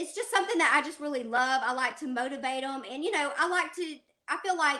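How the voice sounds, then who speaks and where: Pitched high, a woman's voice comes across bright and sharp, raised and projected. Her pitch varies in an ordinary way. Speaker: podcast host and ministry leader. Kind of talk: interview.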